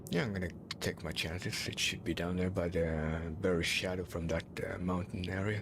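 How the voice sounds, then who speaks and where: A man talks at a very deep, low pitch with fairly even intonation over noticeable background noise. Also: moderate pace. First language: Swedish. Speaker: video game streamer. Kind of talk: gameplay commentary. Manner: hesitant, searching for words.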